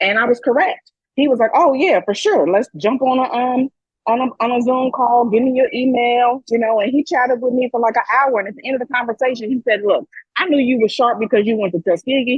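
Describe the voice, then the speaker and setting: A loud woman's voice, high in pitch, at a fairly quick pace with ordinary pitch variation. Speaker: podcast co-host. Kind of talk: casual chat. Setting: hydro massage area.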